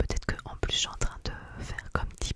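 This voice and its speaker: Someone whispers in a soft-spoken way, the sound dry with no echo, against loud background noise. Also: woman. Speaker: ASMR creator. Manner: soft intimate ASMR whisper. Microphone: studio mic.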